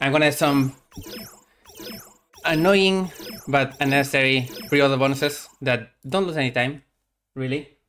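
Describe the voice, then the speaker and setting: At a moderate pace, a man with a Spanish accent speaks at a fairly high pitch with fairly even intonation and long, frequent pauses. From Spain. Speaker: speedrunner. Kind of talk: live game commentary. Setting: live stream.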